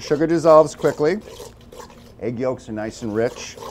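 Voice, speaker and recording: A man with an American accent talks at a moderate pace. His intonation is lively, with light background noise. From New York City (Brooklyn); New York City. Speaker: chef. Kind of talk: tutorial. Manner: casual. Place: kitchen. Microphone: lapel.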